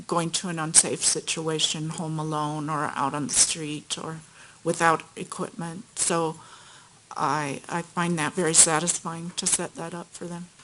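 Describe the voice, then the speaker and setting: A woman with an American accent speaks at a fairly slow pace in a fairly low pitch, her bright, sharp tone held to a monotone, flat intonation. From US West Coast, Los Angeles. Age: 60s. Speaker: witness, nurse. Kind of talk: court testimony. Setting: courtroom.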